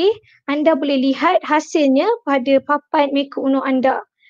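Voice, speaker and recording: A high-pitched female voice over a quiet background. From Perak, Malaysia (Kuala Kangsar); Perak, Malaysia. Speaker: tech company presenter; presenter. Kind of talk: webinar tutorial. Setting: online webinar. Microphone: video call.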